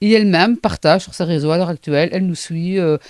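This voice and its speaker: Spoken with a Charleroi accent, the recording is very clean with a silent background and a dry, close sound free of echo. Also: woman. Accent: Charleroi Belgian accent, noticeable. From Belgium, Hainaut (Charleroi area). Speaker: playwright and actress, also care worker. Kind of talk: casual interview. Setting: studio.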